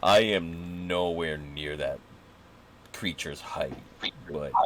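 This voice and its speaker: In a put-on character voice, a man speaks with a very deep, low pitch and fairly even intonation. His pace is fairly slow, and clear background noise is present. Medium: actual play. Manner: formal, polite.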